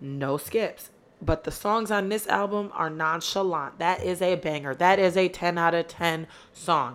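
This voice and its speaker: The delivery is animated, with lively intonation and a fairly slow pace. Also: woman. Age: 20s. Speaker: podcast host. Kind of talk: casual solo monologue. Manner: loud.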